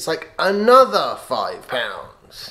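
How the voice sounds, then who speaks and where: A British-accented male voice. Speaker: vlogger. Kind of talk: casual vlog monologue.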